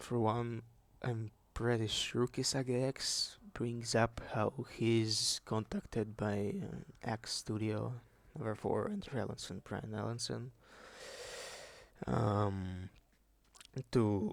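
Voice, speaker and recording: A man's very slow speech, with long, frequent pauses and fairly even intonation. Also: medium pitch for a man. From Russia. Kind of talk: unscripted video essay talk. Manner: rambling, casual.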